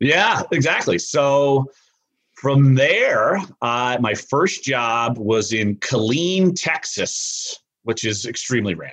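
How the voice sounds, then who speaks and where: A man speaks at a very slow pace and a medium pitch. His intonation is lively. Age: 40s. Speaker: sports columnist. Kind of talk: casual interview. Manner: hesitant fillers.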